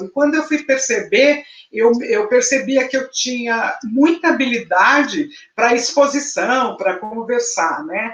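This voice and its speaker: Speaking fairly slowly, a woman keeps her voice high. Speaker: journalist and educator. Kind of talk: interview conversation.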